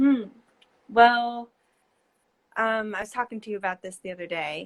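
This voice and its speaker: An American accent marks a woman's fairly high voice at a moderate pace. She shows ordinary pitch variation and big swings in loudness. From New Jersey. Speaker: painter. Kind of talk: casual interview. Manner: hesitant, many fillers.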